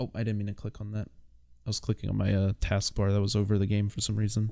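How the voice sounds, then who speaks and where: Delivered at a very fast pace, the voice has a dark, mellow tone on a very clean recording with a silent background. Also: man, fairly low pitch for a man. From United States. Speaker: gaming streamer. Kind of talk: casual livestream chat. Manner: loud; animated.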